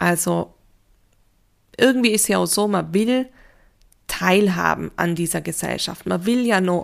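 Speaking at a very slow pace, a woman comes through on a very clean recording with a silent background. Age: 30s. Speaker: grief counsellor and podcast host. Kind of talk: solo podcast talk.

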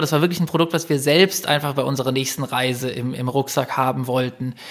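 A man speaks fairly quickly, his intonation staying fairly even. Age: 30s. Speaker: entrepreneur. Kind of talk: interview. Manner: hesitant, many fillers.

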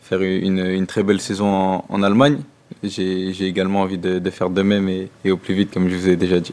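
Very fast and monotone, with flat intonation, a man talks in a very deep, low voice. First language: French (speaking German). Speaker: football player. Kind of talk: press conference. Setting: press room. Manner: halting.

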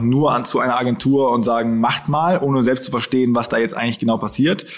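There is noticeable background noise as a man speaks. His voice sits at a medium pitch with ordinary pitch variation. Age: 20s. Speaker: influencer agency owner. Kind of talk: interview.

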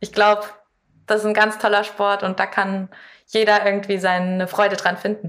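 Her voice sits at a medium pitch, and the woman delivers her words in a monotone, flat intonation at a moderate pace. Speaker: competitive climber. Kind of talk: interview. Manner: clear, composed.

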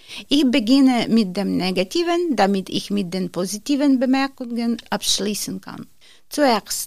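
Fairly high, lively woman's voice at a fairly slow pace, in a very clean recording with a silent background. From Ukraine. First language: Ukrainian or Russian (speaking German). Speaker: course participant. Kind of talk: reading aloud.

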